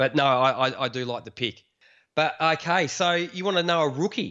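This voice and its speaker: Moderate-paced speech from a man with an Australian accent. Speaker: fantasy football podcaster. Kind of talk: casual chat.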